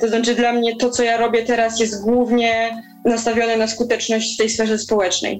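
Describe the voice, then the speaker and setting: Over noticeable background noise, a woman with a fairly high pitch speaks at a moderate pace in a monotone, flat intonation, with very even loudness and hardly any pauses. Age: 20s. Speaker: climate activist. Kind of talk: interview.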